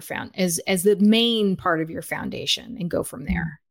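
A woman speaks with an American accent at a moderate pace. Vocal fry runs through her voice, and the pitch varies in an ordinary way. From US, suburbs; Guatemalan parents. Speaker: chicken keeping educator and author. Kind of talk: casual chat. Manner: animated.

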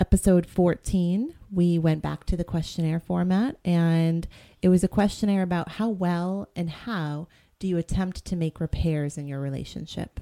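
With an American accent, a woman speaks fairly slowly in a fairly low pitch and a dark, mellow tone, her intonation fairly even, on a very clean recording with a silent background and a dry, close sound with no echo. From Boston. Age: 40s. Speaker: podcast co-host, therapist. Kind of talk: casual chat.

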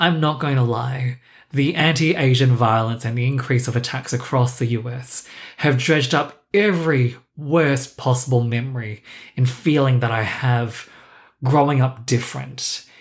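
The somewhat breathy voice moves at a moderate pace with fairly even intonation. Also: man, medium pitch for a man. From Singapore, raised in Australia. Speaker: podcast host. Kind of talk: scripted solo podcast intro, personal monologue. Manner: self-deprecating, wry, conversational.

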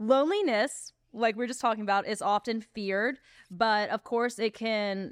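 A woman with an American accent has a plain, everyday voice at a fairly high pitch. She speaks at a moderate pace with fairly even intonation. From US South. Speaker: podcast host. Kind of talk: casual chat.

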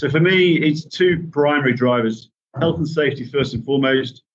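Here a man talks with a Yorkshire accent. He goes at a very fast pace. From Yorkshire, England. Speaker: managing director. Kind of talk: podcast interview.

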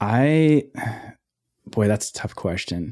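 At a fairly slow pace, a man with an Upper Midwest accent speaks in a dark, mellow tone on a very clean recording with a silent background. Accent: Upper Midwest (Minnesota). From Ely, northern Minnesota. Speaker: photographer. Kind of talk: casual chat.

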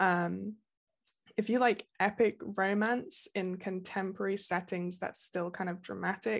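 Against a quiet background, a woman with an English Midlands accent talks at medium pitch with fairly even intonation. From England, Nottingham. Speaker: romance novelist. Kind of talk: interview.

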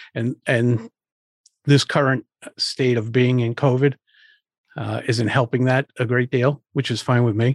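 A man with an American accent speaks at medium pitch in a monotone, flat intonation, at a fairly slow pace with long, frequent pauses. The sound is dry and close with no echo, and the background is quiet. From Rhode Island, US. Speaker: public speaking coach. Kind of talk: interview conversation. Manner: halting, stuttering at times.

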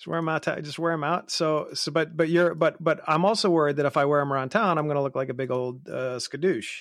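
With hardly any pauses, the speech races along very fast, its pitch varying in an ordinary way. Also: man, fairly high pitch for a man. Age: 40s. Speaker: watch podcast host. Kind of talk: casual chat.

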